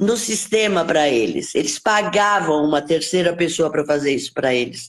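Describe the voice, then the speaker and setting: A woman talks rather slowly while her pitch leaps across a very broad range. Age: 70s. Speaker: lawyer. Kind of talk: casual chat. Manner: halting.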